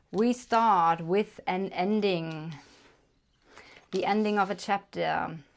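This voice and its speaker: With a German accent, the speaker goes at a very slow pace with long, frequent pauses, fairly even intonation and very even loudness. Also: woman, medium pitch for a woman. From Germany. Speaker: tarot reader. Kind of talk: tarot reading to camera. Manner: casual, hesitant with fillers.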